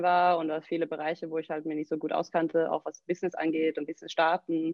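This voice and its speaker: In a fairly low, monotone, flat voice, a woman speaks very fast. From southern Sweden. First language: Swedish (speaking German). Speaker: CrossFit gym owner and coach. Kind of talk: casual interview.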